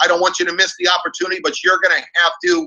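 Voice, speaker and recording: Lively intonation marks a man's speech. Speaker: network marketing team leader. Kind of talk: motivational webinar talk. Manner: fast; animated.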